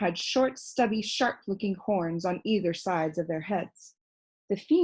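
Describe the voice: A quiet background and plain reading aloud.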